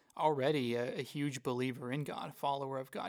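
In a very clean recording with a silent background, a man with an Oklahoma accent speaks at a medium pitch and a fairly quick pace, with ordinary pitch variation. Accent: Oklahoma American. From Tulsa, Oklahoma. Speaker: church ministry assistant. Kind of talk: casual chat.

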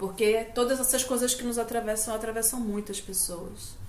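With noticeable background noise and audible room echo around her, a woman talks at a moderate pace. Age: 50. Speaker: journalist and university lecturer, activist. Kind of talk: casual chat. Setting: at home.

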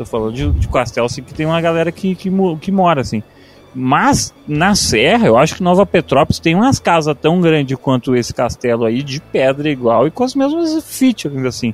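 A man speaks at a moderate pace in a fairly high pitch. He has an unremarkable speaking voice, and the sound is dry and close with no echo. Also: lively intonation. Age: 20s. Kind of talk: casual chat.

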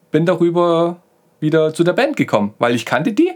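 A man with a Saxon accent, lively intonation, and a moderate pace. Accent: Saxon, with a lisp-like TH. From Saxony. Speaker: podcast co-host. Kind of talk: casual chat. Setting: studio.

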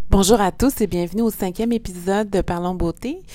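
A woman's voice comes through with a dark, mellow tone. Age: 40s. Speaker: beauty podcast host. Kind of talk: casual interview.

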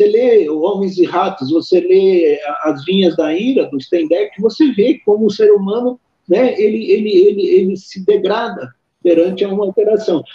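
The man's voice is high-pitched, with ordinary pitch variation. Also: moderate pace. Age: 60s. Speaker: psychiatrist. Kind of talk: interview. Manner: halting, with many repetitions.

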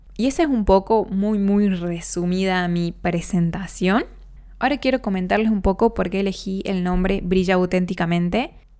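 A very clean recording with a silent background: an unremarkable speaking voice, ordinary pitch variation, moderate pace. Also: woman, medium pitch for a woman. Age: 20s. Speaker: podcast host. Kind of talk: personal monologue.

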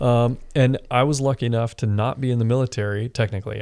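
Over a silent background in a very clean recording, a man with an American accent and an unremarkable speaking voice speaks at a moderate pace, his medium pitch carried in fairly even intonation. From Washington State, Seattle area. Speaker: air traffic controller and military veteran. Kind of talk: casual interview.

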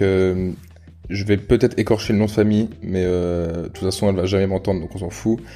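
Speaking at a fairly quick pace, a man has a fairly low pitch and a dark, mellow tone. His intonation is monotone and flat. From France, Rhône-Alpes. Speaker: podcast host. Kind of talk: casual chat. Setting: at guest's home. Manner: hesitant, many fillers.

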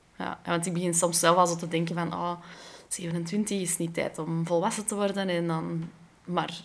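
Her voice fairly low, a woman talks at a moderate pace with flat, monotone intonation. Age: 20s. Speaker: podcast host. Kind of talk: casual chat.

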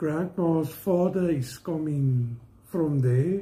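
In a South African accent, a man talks at a very slow pace with a dark, mellow tone. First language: Afrikaans. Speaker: family member of co-host. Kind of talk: casual chat. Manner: halting.

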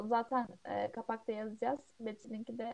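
A woman's high voice with a dark, mellow tone at a fairly slow pace. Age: 20s. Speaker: podcast co-host, architecture student. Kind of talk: casual chat.

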